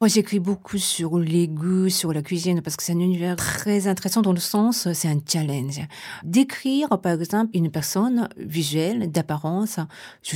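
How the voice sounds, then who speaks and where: Speaking at a moderate pace with a Japanese accent, a woman uses a fairly low pitch and ordinary pitch variation in a dark, mellow tone. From Japan, Tokyo. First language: Japanese (speaking French). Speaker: writer and translator. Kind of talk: interview. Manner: halting.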